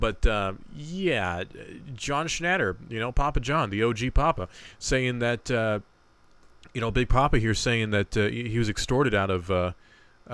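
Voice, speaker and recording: A man with a plain, everyday voice speaks at a moderate pace in a fairly low pitch, his intonation lively. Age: 20s. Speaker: podcast co-host. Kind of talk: casual chat.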